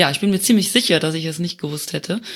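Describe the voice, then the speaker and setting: A woman speaks in a normal speaking voice at a fairly low pitch with ordinary pitch variation, captured in a very clean recording against a silent background. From Luxembourg. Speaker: community manager. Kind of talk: casual chat.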